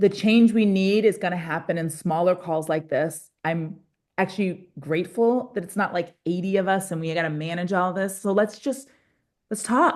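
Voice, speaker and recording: An ordinary speaking voice at a moderate pace. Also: woman, medium pitch for a woman, ordinary pitch variation. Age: 40s. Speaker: pastor and climate activist. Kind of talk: facilitating group discussion. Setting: video call.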